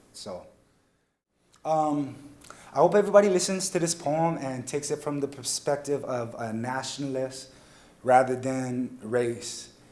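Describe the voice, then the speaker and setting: Speaking in a Hawaiian accent, a man uses a fairly high pitch with ordinary pitch variation, big swings in loudness, long, frequent pauses and a fairly slow pace. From Hawaii, Waianae, Oahu. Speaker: student poet. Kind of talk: casual spoken introduction. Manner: hesitant, with fillers.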